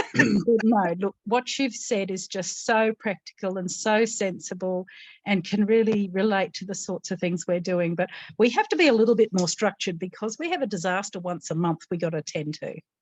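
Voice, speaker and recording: With an Australian accent, a woman talks at a medium pitch and a moderate pace. Her pitch varies in an ordinary way, and the sound is dry and close with no echo. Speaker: disaster recovery speaker. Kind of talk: panel discussion.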